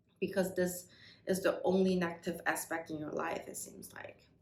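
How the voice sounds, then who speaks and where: Room echo is audible. A woman talks fairly slowly. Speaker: tarot reader. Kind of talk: tarot reading to viewers.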